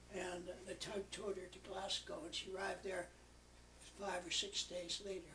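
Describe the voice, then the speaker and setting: A man with a high voice speaks in a raised, projected way, flat and monotone, with long, frequent pauses. Noticeable background noise runs underneath. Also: moderate pace. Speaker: war veteran. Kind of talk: casual chat. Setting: family gathering. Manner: halting.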